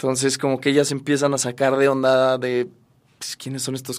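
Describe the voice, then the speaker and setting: This is a man with a normal speaking voice and a medium pitch, talking at a moderate pace. The recording is very clean, with a silent background. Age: 30s. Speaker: actor. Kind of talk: interview.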